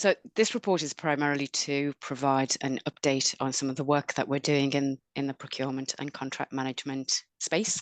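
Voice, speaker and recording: A woman's very deep, low voice at a moderate pace, fairly even in intonation with hardly any pauses, in a dry, close sound with no echo. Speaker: council staff presenting a report. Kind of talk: committee report presentation.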